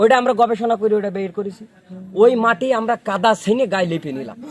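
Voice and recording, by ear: A high-pitched male voice with ordinary pitch variation. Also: moderate pace.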